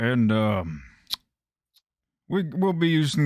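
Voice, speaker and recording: A man talks at a very slow pace. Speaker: game master. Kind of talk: tabletop game session.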